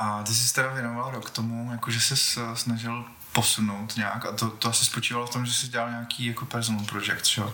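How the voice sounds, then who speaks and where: With noticeable background noise behind him, a man speaks at a fairly quick pace in a medium pitch with monotone, flat intonation. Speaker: podcast host. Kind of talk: interview. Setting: guest's home studio. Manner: halting.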